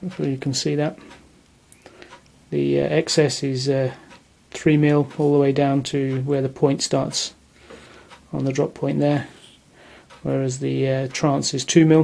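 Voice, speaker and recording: A fairly slow delivery with long, frequent pauses. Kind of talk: product review talk to camera.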